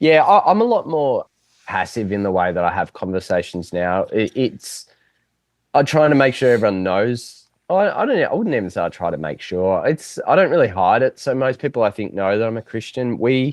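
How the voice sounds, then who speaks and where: Speaking at a fairly quick pace with an Australian accent, a man at medium pitch makes very wide pitch swings. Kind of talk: interview answer. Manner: mellow, relaxed.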